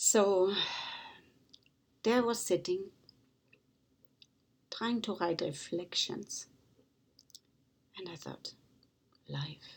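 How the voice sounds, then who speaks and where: A woman with a German accent at a medium pitch, very slow pace with long, frequent pauses, ordinary pitch variation, and big swings in loudness. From Germany. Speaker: author and motivational speaker. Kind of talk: inspirational talk.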